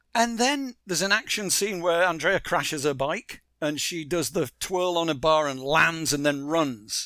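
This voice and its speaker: A high-pitched man with a bright, sharp tone and lively intonation, fairly slow in pace with hardly any pauses, on a very clean recording with a silent background. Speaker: TV writer and co-creator of an animated series. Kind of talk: casual interview.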